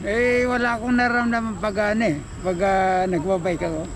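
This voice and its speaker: A high-pitched man talks fairly quickly with ordinary pitch variation against noticeable background noise. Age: 70s. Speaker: veteran cyclist. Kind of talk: interview answer.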